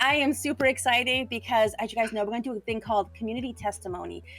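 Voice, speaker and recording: Music plays in the background as a woman with a fairly high pitch speaks at a very fast pace in an animated tone. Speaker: pastor. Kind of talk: livestream interview. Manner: loud.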